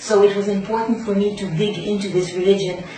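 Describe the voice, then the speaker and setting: Amid noticeable background noise and audible room echo, a woman speaks at a medium pitch with monotone, flat intonation. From Canada. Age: 40s. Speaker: convert sharing her story. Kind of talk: testimony. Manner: hesitant, many fillers.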